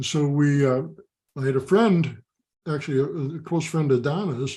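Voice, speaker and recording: A man with an American accent talks at a moderate pace. His voice is fairly high-pitched and somewhat breathy. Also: ordinary pitch variation. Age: 70s. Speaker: father of pro football players. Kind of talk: interview.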